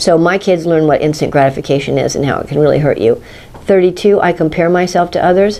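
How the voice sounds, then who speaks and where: Talking at a very fast pace, a woman has a fairly low pitch and ordinary pitch variation. Noticeable background noise runs beneath her. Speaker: teacher and educator. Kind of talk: teaching tutorial for educators. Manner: animated.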